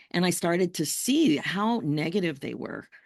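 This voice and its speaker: Against a quiet background, a woman speaks with lively intonation and vocal fry. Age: 60s. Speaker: life coach. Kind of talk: interview conversation.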